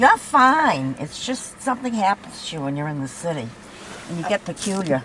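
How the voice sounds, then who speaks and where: Noticeable background noise sits behind a woman whose voice makes very wide pitch swings. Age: 80s+. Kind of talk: casual chat. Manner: animated.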